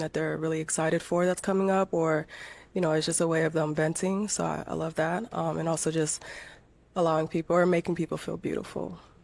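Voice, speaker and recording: A woman's very deep, low voice, monotone and flat, at a very fast pace on a very clean recording with a silent background. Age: 30s. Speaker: hair braider, dating show contestant. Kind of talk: casual chat.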